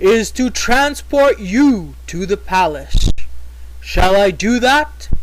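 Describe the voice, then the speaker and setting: A man does a put-on character voice at a very slow pace, with clear background noise behind him. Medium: read story. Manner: formal, servile.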